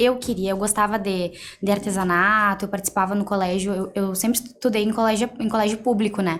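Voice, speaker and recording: A woman with a plain, everyday voice, medium pitch, fairly even intonation and a fairly quick pace. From Rio Grande do Sul, Brazil (Cacequi). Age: 20s. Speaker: entrepreneur, mentee. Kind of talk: interview podcast.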